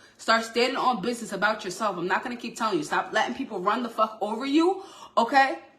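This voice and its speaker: Against noticeable background noise, a woman speaks very fast at a fairly high pitch, her intonation lively and her tone animated. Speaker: tarot reader. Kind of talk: tarot reading. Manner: loud.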